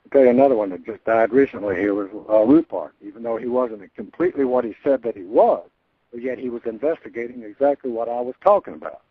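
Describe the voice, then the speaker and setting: A very fast-talking man with ordinary pitch variation and big swings in loudness. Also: medium pitch for a man. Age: 70s. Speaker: former intelligence operative and whistleblower. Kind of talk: interview testimony. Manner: emphatic.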